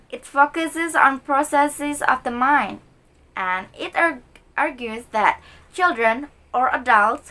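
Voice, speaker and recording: A woman's high-pitched, raised, projected voice carries a bright, sharp tone and ordinary pitch variation. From Indonesia, Bandung (West Java, Sundanese). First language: Sundanese. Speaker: university student. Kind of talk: recorded class assignment answering exam questions. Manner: halting, with many fillers.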